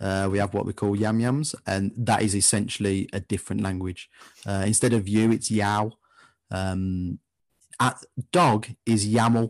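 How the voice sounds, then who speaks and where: In an English Midlands accent, a man speaks slowly-ish at a fairly low pitch with fairly even intonation, the sound dry and close with no echo against a quiet background. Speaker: football fan podcaster. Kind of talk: casual interview chat.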